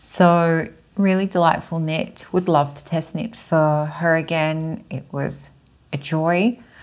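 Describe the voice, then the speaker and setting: A woman with an Australian accent, fairly low-pitched, at a very slow pace with big swings in loudness. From Chile. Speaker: knitting and sewing vlogger; sewing vlogger. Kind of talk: casual monologue. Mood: warm, pleased. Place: home room. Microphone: lapel.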